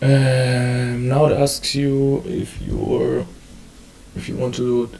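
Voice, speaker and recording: A man speaks with a German accent over noticeable background noise. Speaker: community organizer. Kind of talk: tutorial. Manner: halting.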